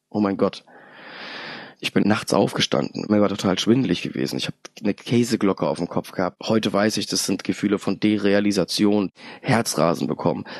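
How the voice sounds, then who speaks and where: Vocal fry runs through a man's voice as he talks at a fairly quick pace with ordinary pitch variation. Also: fairly low pitch for a man, dry, close sound with no echo. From Hesse, Germany (Darmstadt). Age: 30s. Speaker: chemical plant supervisor, recovering alcoholic. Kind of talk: personal testimony interview.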